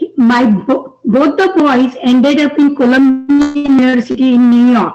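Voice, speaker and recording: With an Indian accent, a woman speaks at a fairly slow pace. Her pitch is high. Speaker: audience member asking a question. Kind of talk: audience question. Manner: halting.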